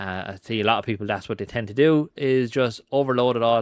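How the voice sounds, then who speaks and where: A man speaks with a strong Irish accent at a fairly quick pace and ordinary pitch variation. The sound is dry with no echo, and the background is quiet. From Ireland. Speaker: marketing and AI content creator; AI content creator. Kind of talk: screen-recorded tutorial; screen-share tutorial. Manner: casual with frequent fillers (um, uh).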